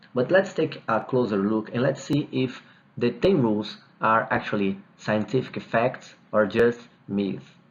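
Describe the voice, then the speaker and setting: A man speaks at a fairly slow pace with a Brazilian Portuguese accent. His medium-pitched voice has lively intonation. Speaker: dentist, TMD specialist. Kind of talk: video lecture reviewing guidelines.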